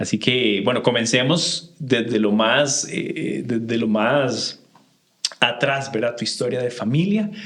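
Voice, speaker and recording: A man with a medium-pitched voice speaks very slowly with a Costa Rican accent. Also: ordinary pitch variation. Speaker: podcast host. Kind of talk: interview.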